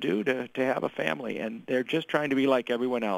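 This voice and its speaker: In an American accent, a man talks at a medium pitch with a normal speaking voice. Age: 60s. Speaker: political candidate. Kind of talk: radio interview.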